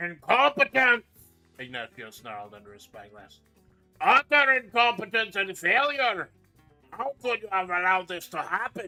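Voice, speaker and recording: A man does a put-on character voice, growling at a high pitch with lively intonation and a moderate pace. The sound is dry and close with no echo, with faint music in the background. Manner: snarling, angry.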